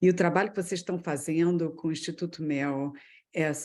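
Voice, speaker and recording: Her tone is dark and mellow, with a fairly low pitch. The woman keeps a moderate pace and fairly even intonation. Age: 50s. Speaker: business executive. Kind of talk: personal career story in a webinar talk.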